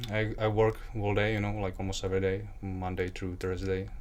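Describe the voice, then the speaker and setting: Someone with a Czech accent talks at a very fast pace, with audible room echo. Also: man. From Czech Republic. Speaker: aspiring model and actor. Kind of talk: interview. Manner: halting, many fillers.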